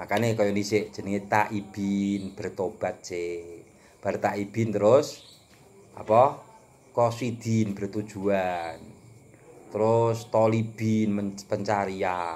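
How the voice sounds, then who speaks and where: At a very slow pace, a man talks in a monotone, flat intonation with a fairly low pitch. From Java, Indonesia. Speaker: religious teacher. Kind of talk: lecture. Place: home room. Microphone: phone near.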